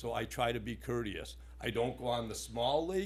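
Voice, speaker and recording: Audible room echo hangs around a man as he talks. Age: 60s. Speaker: resident speaking at public comment. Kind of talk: public comment at town board meeting. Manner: animated.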